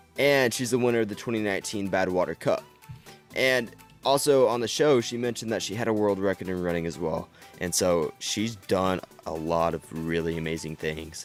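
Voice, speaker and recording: Over background music, a man with a fairly low pitch speaks at a fairly quick pace in an upbeat tone. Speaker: podcast host. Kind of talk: podcast intro and interview questions.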